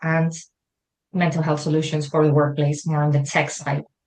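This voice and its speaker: A woman with a Spanish accent. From Spain. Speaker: wellbeing consultant. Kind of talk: interview.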